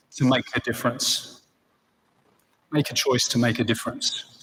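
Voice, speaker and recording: With an Australian accent, a man speaks at a medium pitch in a monotone, flat way. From Australia, Sydney. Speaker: chief executive, ceremony speaker. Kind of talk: graduation speech. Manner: earnest, with fillers.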